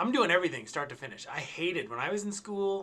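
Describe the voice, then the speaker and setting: A man is speaking. He goes at a very fast pace. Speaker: instructor. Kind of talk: tutorial. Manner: halting, with many fillers. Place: home room.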